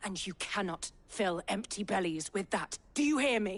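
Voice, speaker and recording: Putting on a growling character voice, a woman speaks at a medium pitch and a moderate pace. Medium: video game. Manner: forceful, argumentative.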